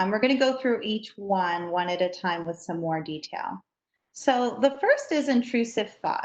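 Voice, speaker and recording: A woman talks in an ordinary speaking voice, fairly high in pitch. She keeps a moderate pace and her intonation is lively. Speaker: trainer for educators. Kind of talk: training workshop.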